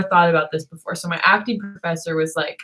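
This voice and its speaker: A woman speaks fairly quickly in a fairly low voice. Her pitch varies in an ordinary way. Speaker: livestreamer. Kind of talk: casual chat. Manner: halting.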